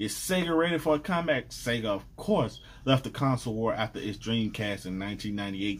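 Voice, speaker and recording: With lively intonation, the man delivers his words at a moderate pace. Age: 30s. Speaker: gaming YouTuber. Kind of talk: casual vlog commentary. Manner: animated. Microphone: webcam.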